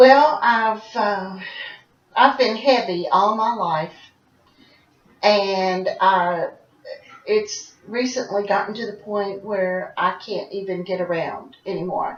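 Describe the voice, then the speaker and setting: A woman speaks at a very slow pace and medium pitch, with long, frequent pauses, ordinary pitch variation and big swings in loudness. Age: 60s. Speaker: role-play client. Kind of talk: counseling interview.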